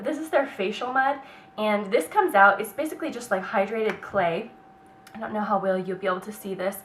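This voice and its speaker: A woman with an American accent talks at a very fast pace and medium pitch, with lively intonation and an animated tone. Her loudness swings widely over noticeable background noise. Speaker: beauty vlogger. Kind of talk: product review vlog.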